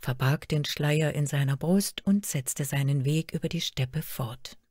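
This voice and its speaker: A woman's very deep, low voice, dark and mellow, somewhat breathy, at a moderate pace on a very clean recording with a silent background. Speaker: storyteller reading a fairy tale aloud. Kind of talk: fairy tale telling. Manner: storytelling narration, measured and expressive.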